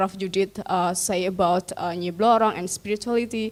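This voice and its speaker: A woman's medium-pitched voice with an Indonesian accent and fairly even intonation. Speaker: audience member asking a question. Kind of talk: Q&A question at academic seminar. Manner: halting, many fillers.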